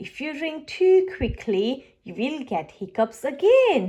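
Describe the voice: A woman puts on a character voice with a high pitch and a dark, mellow tone. She speaks slowly with big pitch swings.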